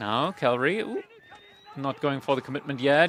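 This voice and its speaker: Over noticeable background noise, a man with a non-native accent speaks at a fairly quick pace and a fairly high pitch, with ordinary pitch variation. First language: not English. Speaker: esports caster. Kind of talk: live commentary. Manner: fast, play-by-play.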